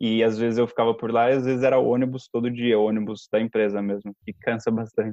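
A man with a dark, mellow tone and medium pitch speaks very fast in a monotone, flat delivery with hardly any pauses, the sound dry and close with no echo. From interior of São Paulo state, Brazil (Limeira). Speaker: engineer and language podcast team member. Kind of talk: casual interview chat.

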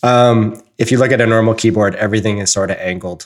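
A man with a Canadian accent and fairly even intonation. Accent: Canadian, noticeable 'about'. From southern Ontario, Canada. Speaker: podcast host.

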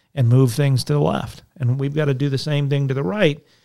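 A man with an American accent speaks at a moderate pace in a dark, mellow tone, his fairly high voice keeping fairly even intonation. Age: 40s. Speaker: state senator. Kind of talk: casual interview. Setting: studio.

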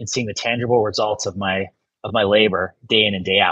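A man with an American accent at a medium pitch and fairly quick pace, in dry, close sound with no echo. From US Midwest, northeast Ohio. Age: 50s. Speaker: lawyer and former judge. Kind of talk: casual interview.

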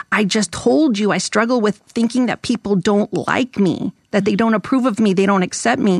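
Her voice is a plain, everyday voice, and the woman speaks at a moderate pace and medium pitch with ordinary pitch variation and very even loudness. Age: 50s. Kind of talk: podcast interview with read-aloud passages. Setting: studio.

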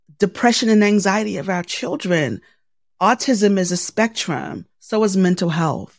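A woman with an American accent talks at a fairly slow pace and a medium pitch, with vocal fry. Her pitch varies in an ordinary way in a very clean recording with a silent background. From Baltimore, Maryland, US. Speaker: journalist, podcaster and military veteran. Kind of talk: interview. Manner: animated.

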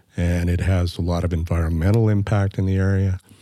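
Over noticeable background noise, a man with a very deep, low voice talks in a monotone, flat way. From Canadian Prairies (northern Manitoba, raised in Edmonton). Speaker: podcast co-host, former city councillor and journalist. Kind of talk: casual chat.

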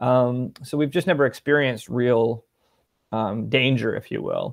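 With a Canadian accent, a man speaks in a normal speaking voice at a medium pitch. His pace is moderate. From Ontario, Canada (Peterborough and Ottawa). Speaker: tech company CEO. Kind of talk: interview.

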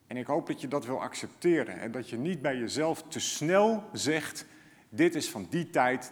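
A plain, everyday voice from a man, fairly high in pitch, with lively intonation at a fairly slow pace. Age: 40s. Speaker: pastor. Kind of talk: sermon.

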